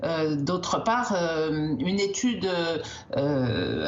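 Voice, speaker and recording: Over noticeable background noise and audible room echo, a woman talks in a fairly low voice with lively intonation. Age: 60s. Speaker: doctor, endocrinologist. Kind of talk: TV news interview. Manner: hesitant, many filler sounds.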